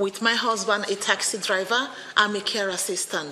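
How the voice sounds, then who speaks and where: Noticeable background noise runs under this recording. A woman speaks in a fairly high pitch. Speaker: tenant resident. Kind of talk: testimony. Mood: earnest, appealing. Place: meeting room. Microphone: podium.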